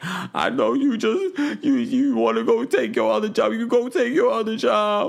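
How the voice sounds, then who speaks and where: Putting on a whiny character voice, a man speaks at an extremely high pitch and a moderate pace. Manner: bratty, whiny.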